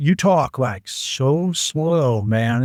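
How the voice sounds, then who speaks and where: A man speaks with ordinary pitch variation in a very clean recording with a silent background and a dry, close sound with no echo. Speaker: mushroom entrepreneur and comedian. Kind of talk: casual chat. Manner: animated.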